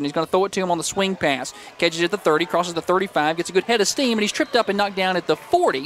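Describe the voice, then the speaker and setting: Over light background noise, a man talks very fast in a high pitch, the sound dry with no echo. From US South. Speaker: play-by-play radio announcer. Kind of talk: live commentary. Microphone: headset.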